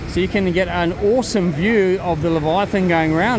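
A man speaks in a high pitch with fairly even intonation. The sound is dry with no echo, though noticeable background noise is present. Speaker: theme park vlogger. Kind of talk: casual vlog chat. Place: street. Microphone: phone near.

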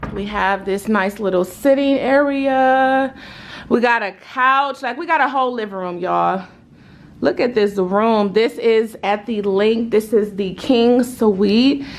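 With ordinary pitch variation, a woman delivers her words fairly slowly. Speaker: vlogger. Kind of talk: casual vlog chat. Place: home room. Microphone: phone near.

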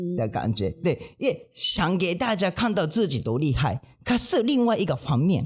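In a Japanese accent, a man speaks at a high pitch and a fairly slow pace, his pitch swinging very widely. The background is quiet. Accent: non-native Mandarin, Japanese. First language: Japanese (speaking Chinese). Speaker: manzai comedian, podcast co-host. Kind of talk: casual chat. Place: studio. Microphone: studio mic.

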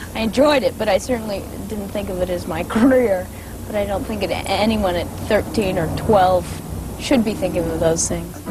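With music in the background, a woman talks at a moderate pace with ordinary pitch variation, the sound dry and free of echo. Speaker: actress being interviewed. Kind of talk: interview answer. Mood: relaxed, playful. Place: garden.

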